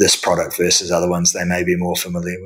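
In a New Zealand accent, the speaker races along at a very fast pace with monotone, flat intonation. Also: man. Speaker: real estate debt investment executive. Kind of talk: interview. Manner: halting with fillers.

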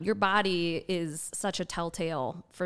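In an American accent, a woman with an unremarkable speaking voice speaks at a fairly low pitch with fairly even intonation, on a very clean recording with a silent background. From Wisconsin, rural farm. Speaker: entrepreneurship educator and founder. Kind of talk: interview.

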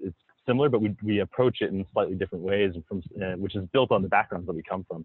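A man with an American accent speaks in a normal speaking voice. His pitch is fairly low and shows ordinary variation. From South Florida. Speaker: entrepreneur and investor. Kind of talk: casual interview.

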